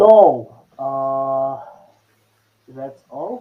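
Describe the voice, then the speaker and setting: A man speaks with a non-native accent. His pitch sits fairly high. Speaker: software developer and course creator. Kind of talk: conference talk. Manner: halting with many fillers and self-corrections.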